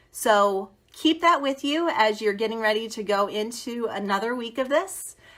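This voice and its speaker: A woman with an American accent has an unremarkable speaking voice at a fairly high pitch. She talks at a moderate pace with lively intonation and hardly any pauses. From US Northeast. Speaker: teacher turned education consultant. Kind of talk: live stream talk to teachers.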